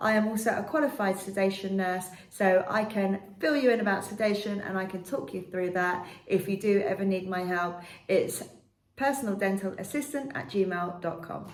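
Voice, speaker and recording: At a moderate pace, a woman of medium pitch speaks with audible room echo and noticeable background noise. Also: ordinary pitch variation. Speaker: dental nurse. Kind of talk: informational talk to camera. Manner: clear.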